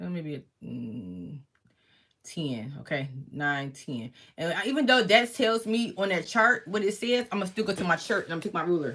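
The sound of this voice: Fairly bright in tone, the voice has lively intonation and a moderate pace. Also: woman, fairly low pitch for a woman.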